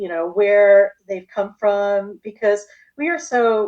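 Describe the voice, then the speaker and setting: A woman speaks in a normal speaking voice. Her pace is fairly slow. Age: 60s. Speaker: holistic health practitioner. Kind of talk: interview.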